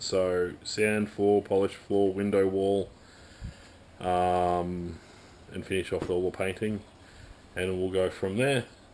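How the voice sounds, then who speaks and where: Very slow and full of long, frequent pauses, a man speaks in a very deep, low pitch with an Australian accent and monotone, flat intonation. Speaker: amateur hill climb racer. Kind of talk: casual talk to camera.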